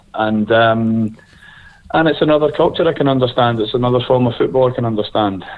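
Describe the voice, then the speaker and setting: A man speaks in a Scottish accent at a moderate pace. His pitch varies in an ordinary way. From Scotland. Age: 30s. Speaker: football coach, former player. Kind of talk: interview. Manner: hesitant, many fillers.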